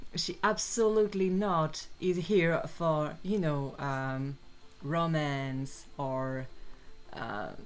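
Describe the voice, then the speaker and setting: In a French accent, a woman speaks at a very slow pace with a very deep, low pitch, and room echo can be heard. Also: lively intonation. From France. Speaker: artist and fan commentator. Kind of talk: casual monologue while drawing. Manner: halting, many fillers.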